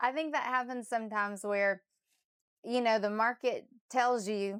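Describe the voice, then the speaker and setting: A normal speaking voice from a woman, fairly high-pitched, at a moderate pace with fairly even intonation, on a very clean recording with a silent background. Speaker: real estate agent. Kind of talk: interviewer, casual conversation.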